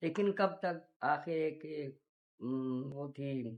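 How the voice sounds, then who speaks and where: A woman's very deep, low-pitched voice with ordinary pitch variation. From born in Panipat, India, raised in Pakistan. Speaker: partition survivor. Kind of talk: oral history recollection.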